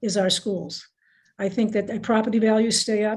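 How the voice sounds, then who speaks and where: A woman with a dark, mellow, somewhat breathy tone speaks fairly quickly in a monotone, flat intonation. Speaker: school committee member and candidate. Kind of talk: candidate forum answers. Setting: video call. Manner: fast; halting, with many restarts.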